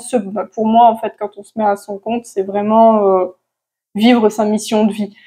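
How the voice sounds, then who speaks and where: A woman's voice with fairly high pitch. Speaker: manifestation coach. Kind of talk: casual to-camera advice talk. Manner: hesitant, many fillers.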